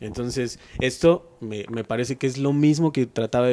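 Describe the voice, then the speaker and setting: With fairly even intonation, a man's voice has a dark, mellow tone. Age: 30s. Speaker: writer and local historian. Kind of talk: interview.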